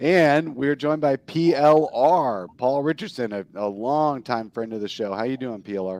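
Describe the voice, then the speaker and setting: A man of medium pitch with an ordinary speaking voice, lively intonation, moderate pace and hardly any pauses, against a quiet background. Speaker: podcast host. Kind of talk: casual chat.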